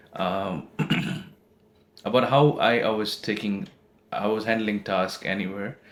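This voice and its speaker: A man's fairly low voice with a slight British accent and ordinary pitch variation. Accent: slightly British. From India. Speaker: postgraduate student. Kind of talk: interview. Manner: halting, self-correcting.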